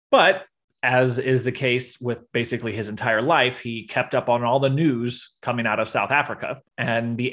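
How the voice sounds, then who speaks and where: Against a quiet background, a man with a medium pitch speaks at a moderate pace. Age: 30s. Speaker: podcast host, storyteller. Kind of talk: storytelling chat. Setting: video call. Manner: timbre changes when telling story.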